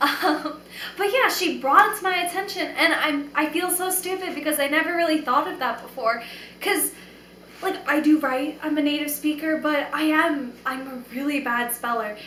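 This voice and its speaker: A woman's high, raised, projected voice with an animated tone and ordinary pitch variation at a moderate pace, with audible room echo. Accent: American. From New York. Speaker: vlogger. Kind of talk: casual vlog monologue.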